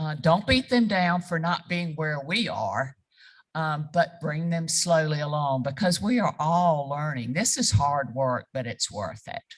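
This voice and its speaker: A woman's very deep, low voice, somewhat breathy, with lively intonation at a fairly slow pace against a quiet background. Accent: South Carolina. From South Carolina. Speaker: reproductive rights advocate. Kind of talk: panel discussion.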